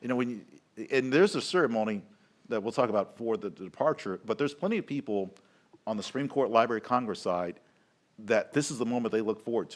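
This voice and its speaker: Very fast speech with ordinary pitch variation comes in a Southern US accent. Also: man, medium pitch for a man. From US South. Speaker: capitol tour guide. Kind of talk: live event commentary.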